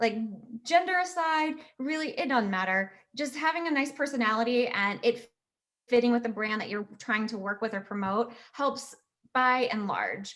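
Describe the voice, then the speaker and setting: Speaking in an American accent, a woman sounds animated, her high voice full of lively intonation. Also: moderate pace. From Virginia, US. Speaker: SEO and marketing specialist. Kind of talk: casual interview chat.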